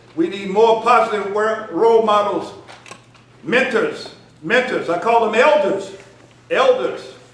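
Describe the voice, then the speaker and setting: An animated tone at a fairly slow pace, with ordinary pitch variation, long and frequent pauses, audible room echo and noticeable background noise. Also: man, high pitch for a man. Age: 60s. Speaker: community leader and speaker. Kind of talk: speech. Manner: animated, repetitive emphasis.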